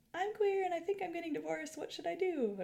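This put-on character voice races along at a very fast pace with an extremely high pitch.

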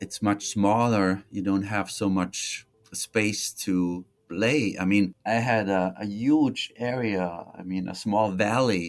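A man with an Austrian accent, fairly low in pitch, very slow in pace, and fairly even in intonation. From Austria, Tyrol. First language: German. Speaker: history professor. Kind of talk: interview. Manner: reflective.

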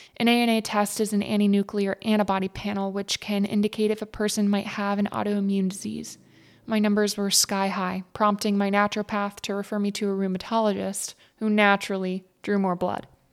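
On a very clean recording with a silent background, a woman talks at a fairly quick pace. Her medium-pitched voice has monotone, flat intonation. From Texas, Fort Worth area. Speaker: podcast host. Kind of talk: personal storytelling narration. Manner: scripted, read-aloud delivery.

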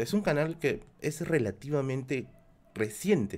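The speaker is a man. His pitch is fairly high. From Peru, Lima (Villa El Salvador). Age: 30s. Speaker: YouTube streamer. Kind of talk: live stream Q&A with chat.

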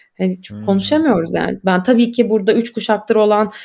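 In a normal speaking voice, a woman of medium pitch keeps her intonation fairly even. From Turkey, Istanbul. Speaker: graduate student and podcaster. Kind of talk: casual interview chat.

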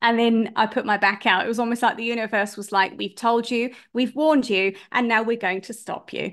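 A woman with a British accent and a fairly high pitch, fairly even intonation, a fairly quick pace and hardly any pauses, over a quiet background. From UK. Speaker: life coach. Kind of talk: interview.

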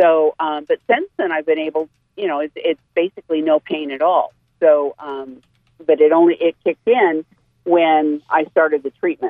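Here a woman talks at a moderate pace, her pitch very deep and low. Her intonation stays fairly even. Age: 60s. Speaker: caller, cancer patient. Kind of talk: call-in question. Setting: phone call.

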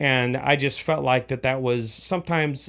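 A man with an American accent, medium pitch and moderate pace, on a very clean recording with a silent background. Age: 40s. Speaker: church leader, pastor's son. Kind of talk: casual chat. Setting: studio.

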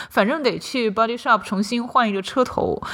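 A woman at a fairly high pitch with a very fast pace. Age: 30s. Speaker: podcast host and writer. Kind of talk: personal monologue.

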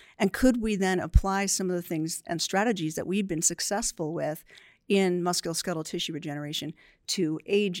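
With a plain, everyday voice, a woman speaks at a fairly quick pace and a fairly low pitch, her intonation fairly even, on a very clean recording with a silent background and a dry, close sound with no echo. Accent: American. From New Jersey. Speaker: research center director. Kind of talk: podcast interview.

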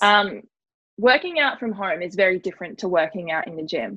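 Against a quiet background, the speaker uses lively intonation with an Australian accent. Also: woman. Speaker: podcast host. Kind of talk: casual interview. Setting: remote call recorded on laptop. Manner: fast.

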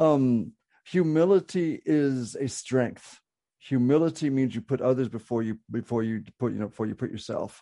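With a dark, mellow tone and medium pitch, a man speaks at a fairly slow pace with ordinary pitch variation. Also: quiet background. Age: 60s. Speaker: podcast subject living with terminal cancer. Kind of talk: casual chat. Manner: halting, many fillers and repetitions.

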